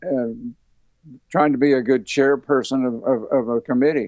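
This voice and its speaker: A man at fairly high pitch with a slight Southern US accent, moderate pace and ordinary pitch variation. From Tennessee. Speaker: retired university band director. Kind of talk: interview conversation. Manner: halting, many repetitions.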